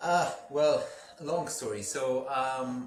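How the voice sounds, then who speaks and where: A man speaks with an Israeli accent. There is noticeable background noise and audible room echo. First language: Hebrew. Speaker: company CEO, engineer. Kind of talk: interview. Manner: halting.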